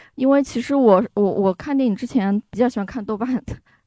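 Recorded with a dry, close sound and no echo, a woman's voice has a dark, mellow tone and ordinary pitch variation. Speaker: audience member. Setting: speaking via microphone at live event.

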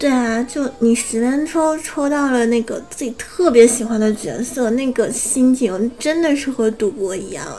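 Over noticeable background noise, a woman speaks at a fairly slow pace with a high pitch and hardly any pauses. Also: ordinary pitch variation. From Northeast China. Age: 20s. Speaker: anime news podcast co-host. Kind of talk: news reading; casual chat.

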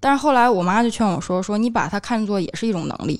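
A woman's medium-pitched voice, an ordinary speaking voice with ordinary pitch variation, on a very clean recording with a silent background. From Tianjin. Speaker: podcast co-host. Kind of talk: casual chat.

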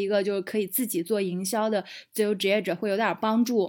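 A woman at medium pitch uses an ordinary speaking voice with fairly even intonation and a moderate pace, on a very clean recording with a silent background. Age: 30s. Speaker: digital nomad entrepreneur and guesthouse owner. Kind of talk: casual interview chat.

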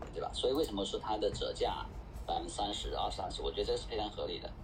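The man's very fast speech carries audible room echo and noticeable background noise. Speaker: DeFi project founder. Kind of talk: panel discussion. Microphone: quiet audio.

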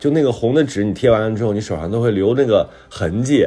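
Using a plain, everyday voice, a man speaks at a fairly low pitch with lively intonation. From Hebei, northern China. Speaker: writer and talk show co-host. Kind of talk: casual chat.

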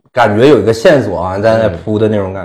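With a strong Northeastern Chinese accent, a man speaks at a fairly low pitch on a very clean recording with a silent background. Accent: strong Northeastern Mandarin. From Northeast China (Inner Mongolia part). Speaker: podcast host. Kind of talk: casual chat.

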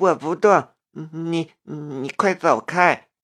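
A put-on character voice, shaky and very slow, at a middle pitch. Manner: trembling, shaky.

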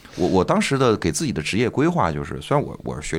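At a very fast pace, the man's voice carries vocal fry and very wide pitch swings, captured on a very clean recording with a silent background. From Northeast China. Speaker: stand-up comedian and comedy club owner. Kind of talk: casual chat.

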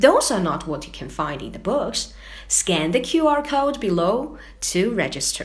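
Fairly slow speech in a Chinese accent, with big swings in loudness, noticeable background noise and audible room echo. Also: woman. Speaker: podcast co-host. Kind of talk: scripted podcast chat.

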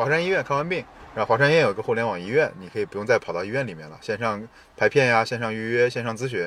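Amid noticeable background noise, a man talks at a very fast pace with big swings in loudness. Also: medium pitch for a man, lively intonation. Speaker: product manager. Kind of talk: casual chat. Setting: outdoors by a river.

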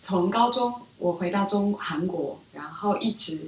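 With a Korean accent, a woman speaks very slowly with ordinary pitch variation over noticeable background noise. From South Korea, Seoul; childhood years in Beijing. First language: Korean (speaking Chinese). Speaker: business school student, former strategy analyst. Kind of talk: interview conversation. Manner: soft-spoken.

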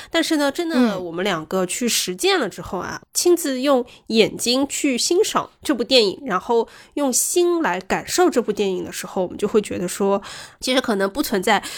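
A high-pitched woman's voice with very wide pitch swings at a moderate pace, in a very clean recording with a silent background. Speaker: podcast co-host. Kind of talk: casual chat.

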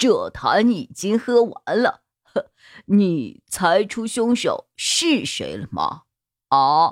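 A woman performs a put-on character voice at a fairly low pitch, slowly, with very wide pitch swings. The recording is very clean with a silent background and a dry, close sound with no echo.

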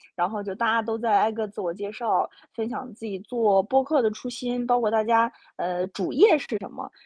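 Against a quiet background, a woman talks in an animated tone at a moderate pace, her fairly high pitch varying in an ordinary way, with a dry, close sound and no echo. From Inner Mongolia. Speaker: podcast host. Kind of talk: casual chat.

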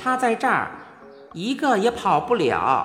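Over clear background music, a put-on character voice, fairly high and shrill, moves at a fairly slow pace with very wide pitch swings.

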